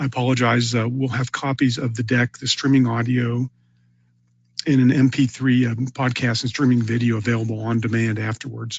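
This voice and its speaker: Someone speaks at a fairly quick pace in a monotone, flat intonation, the voice somewhat breathy. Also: man, medium pitch for a man. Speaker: webinar presenter on e-discovery. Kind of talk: webinar presentation. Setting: online webinar. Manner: fast; many filler words (uh, um).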